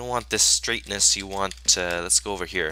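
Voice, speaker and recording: A man speaks on a very clean recording with a silent background. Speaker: gaming YouTuber. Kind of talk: gameplay commentary. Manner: halting, many fillers.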